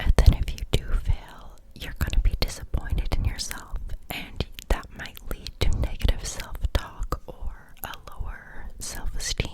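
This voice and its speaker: Someone whispers at a fairly slow pace with big swings in loudness, over noticeable background noise. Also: woman. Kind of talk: ASMR whisper ramble about psychology. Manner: whispered, friendly, chatty.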